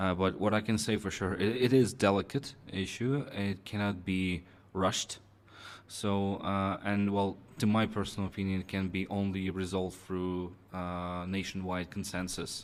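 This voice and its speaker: In a very clean recording with a silent background, a man with a Russian accent speaks at a moderate pace, his fairly low pitch held in fairly even intonation. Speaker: Russian embassy representative. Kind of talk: interview. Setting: in-person interview at embassy. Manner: halting, many fillers and repetitions.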